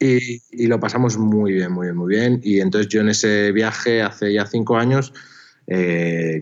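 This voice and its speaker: A man speaks in a plain, everyday voice at a fairly slow pace. His pitch is fairly low. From northern Spain (Pamplona, Navarre). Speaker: documentary filmmaker. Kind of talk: interview conversation.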